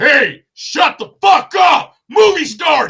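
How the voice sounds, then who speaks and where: Shouting in a put-on character voice, a man speaks at an extremely high pitch and a very slow pace. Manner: commanding, angry.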